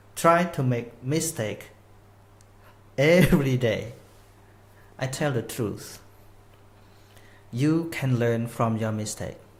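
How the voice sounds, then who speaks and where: A man with a Khmer accent speaks at medium pitch with ordinary pitch variation. His very slow delivery has long, frequent pauses amid audible room echo. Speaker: Buddhist Dhamma teacher. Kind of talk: live online Dhamma talk. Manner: non-native, slightly halting English.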